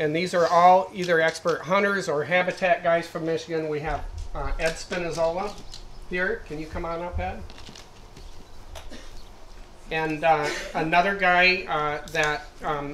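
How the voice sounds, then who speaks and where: A man speaks at a high pitch in a monotone, flat intonation. His pace is fairly slow with long, frequent pauses, over light background noise. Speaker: event host introducing panel. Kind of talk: public address introduction. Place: tent. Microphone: handheld.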